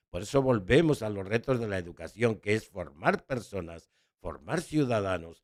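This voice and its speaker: In a very clean recording with a silent background, a man talks fairly slowly at a fairly low pitch with lively intonation. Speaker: educator and writer. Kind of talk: interview conversation.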